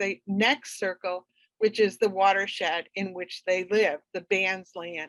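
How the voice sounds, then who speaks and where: A woman at a fairly slow pace, in a dry, close sound with no echo. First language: French. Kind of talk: presentation with slides. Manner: hesitant, many fillers.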